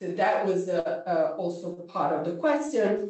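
The background is quiet, but the room echo is strong. A woman speaks with lively intonation. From Italy. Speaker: philosophy professor. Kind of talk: lecture. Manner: halting. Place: classroom. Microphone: camera far.

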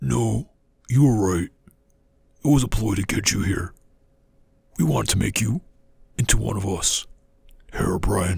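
A man speaks with very deep, low pitch at a moderate pace. Long, frequent pauses break up his speech. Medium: machinima. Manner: smooth, welcoming, then ominous.

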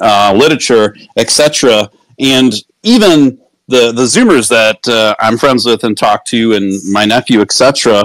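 Heard with a dry, close sound and no echo, the speech goes at a fairly slow pace, with very even loudness and ordinary pitch variation. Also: man, medium pitch for a man. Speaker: crypto project host. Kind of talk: live online audio room discussion. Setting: online audio room. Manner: animated; excitable.

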